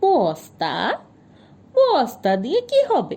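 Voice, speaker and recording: A woman doing a put-on character voice. Her pitch sits high. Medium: read story. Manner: unflappable, terse, folksy.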